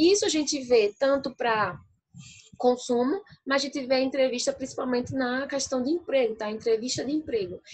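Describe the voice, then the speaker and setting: A woman at a high pitch, talking at a fairly quick pace with lively intonation. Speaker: university lecturer. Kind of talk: lecture.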